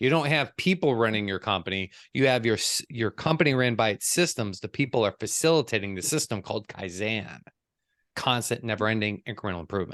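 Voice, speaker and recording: A man's very fast, animated speech at a medium pitch, with lively intonation, an American accent, and a dry, close sound with no echo. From US Midwest, Chicago. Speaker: business coach. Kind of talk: group coaching session.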